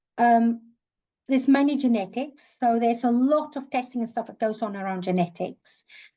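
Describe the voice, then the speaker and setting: In a South African accent, a woman with a fairly high pitch and a dark, mellow tone speaks over a quiet background. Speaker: occupational therapist. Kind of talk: webinar lecture. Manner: hesitant, many fillers.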